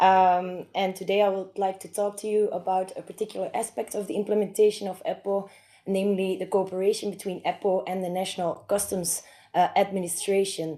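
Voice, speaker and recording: Speaking at a fairly quick pace, a woman has a dark, mellow tone, a medium pitch and monotone, flat intonation. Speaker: lawyer, conference speaker. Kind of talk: academic presentation. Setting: conference hall with microphone.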